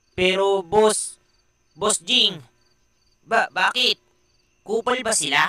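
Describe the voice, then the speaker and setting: Very slow and broken by long, frequent pauses, a cartoonish character voice speaks. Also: man, high pitch for a man. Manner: servile, hesitant.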